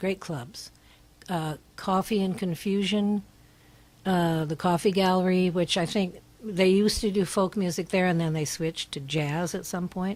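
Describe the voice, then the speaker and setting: Her pitch sits in the medium range for a woman. She keeps a moderate pace and fairly even intonation. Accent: Californian. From Northern California, Berkeley. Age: 80s+. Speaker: singer-songwriter. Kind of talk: radio interview. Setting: radio studio.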